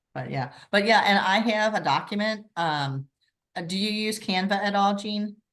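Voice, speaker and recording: The woman's voice sits at medium pitch with ordinary pitch variation. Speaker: direct sales consultant leading a cooking workshop. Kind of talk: online workshop instruction. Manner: fast.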